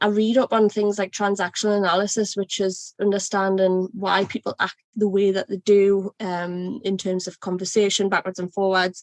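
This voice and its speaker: A woman with a Geordie accent, medium pitch, monotone and flat, at a moderate pace with hardly any pauses, in a dry, close sound with no echo. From North East England, Northumberland coast. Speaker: ERP consultant. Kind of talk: podcast interview.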